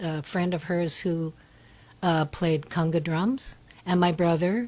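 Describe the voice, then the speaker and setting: A woman's fairly low voice at a fairly slow pace. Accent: Californian. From Northern California, Berkeley. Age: 80s+. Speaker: singer-songwriter. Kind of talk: radio interview. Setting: radio studio.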